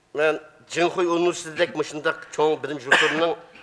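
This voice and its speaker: Words come at a very fast pace against noticeable background noise. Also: man. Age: 70s. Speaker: writer. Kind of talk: speech.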